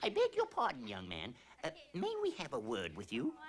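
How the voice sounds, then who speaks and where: This is a cartoonish character voice at a moderate pace. Background noise is clearly heard. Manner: bossy, prim.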